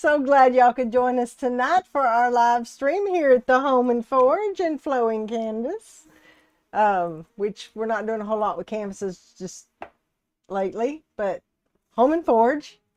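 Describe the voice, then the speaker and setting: A woman with a Southern US accent speaks at a fairly slow pace, her high pitch carrying lively intonation. The sound is dry and close, with no echo. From US South (Texas and Alabama). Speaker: resin artist and live streamer. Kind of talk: casual live stream chat. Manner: chatty, folksy.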